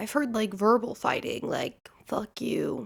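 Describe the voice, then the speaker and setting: An animated tone with vocal fry, with an American accent. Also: woman. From US Midwest, Nebraska. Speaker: podcast host. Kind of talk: casual chat.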